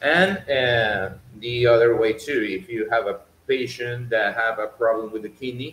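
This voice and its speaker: Speaking at a fairly slow pace in a Venezuelan accent, the voice shows ordinary pitch variation. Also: man, medium pitch for a man. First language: Spanish. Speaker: doctor. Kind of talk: educational talk. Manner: halting, many fillers and repetitions.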